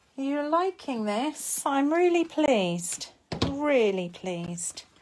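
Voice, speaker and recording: A woman with an English accent speaks at a very slow pace, her pitch swinging very widely. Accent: posh, very proper English. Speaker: papercraft demonstrator. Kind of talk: live craft tutorial. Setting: Facebook live stream.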